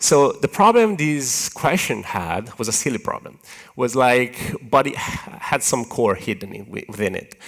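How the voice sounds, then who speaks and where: With an Italian accent, a man of medium pitch talks at a fairly slow pace, showing very wide pitch swings and big swings in loudness. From Italy. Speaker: software engineer, conference speaker. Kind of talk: conference talk. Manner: animated, hand-waving.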